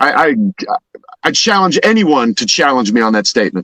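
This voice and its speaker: A man with a fairly high pitch talks at a moderate pace in an animated tone, his voice swinging very widely in pitch with vocal fry, the sound dry and close with no echo. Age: 50s. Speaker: fitness coach and Marine veteran. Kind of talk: casual chat.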